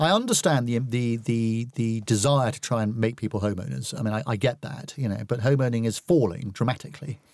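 With an unremarkable speaking voice, a man talks at a fairly quick pace and medium pitch, hardly pausing, with ordinary pitch variation. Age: 50s. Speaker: estate agency executive. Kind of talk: casual chat. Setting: studio.

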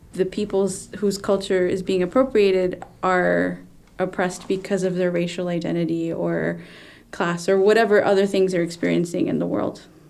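An ordinary speaking voice at a moderate pace. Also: woman. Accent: American. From South Texas (Corpus Christi). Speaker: singer-songwriter and educator. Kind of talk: panel discussion.

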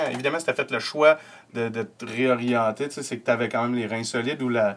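Speaking at a fairly quick pace, a man has a Quebec accent. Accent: Québécois French. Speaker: podcast host and comedian. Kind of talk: casual chat. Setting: home studio.

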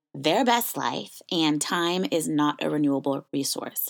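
A plain, everyday voice, fairly slow with ordinary pitch variation, in a very clean recording with a silent background. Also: woman. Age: 30s. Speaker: podcast host. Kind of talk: personal monologue.

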